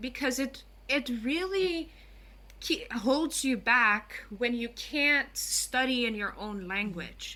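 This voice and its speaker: The voice is raised and projected, with a bright, sharp tone and lively intonation. It comes in a Curaçao accent at a very slow pace. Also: woman. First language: Papiamento. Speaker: guest on language and culture. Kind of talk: podcast interview.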